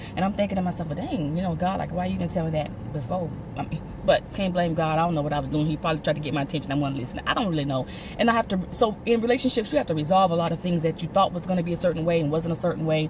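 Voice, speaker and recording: A fairly low-pitched woman's voice at a very fast pace, with ordinary pitch variation and noticeable background noise. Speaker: vlogger. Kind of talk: casual monologue. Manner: halting.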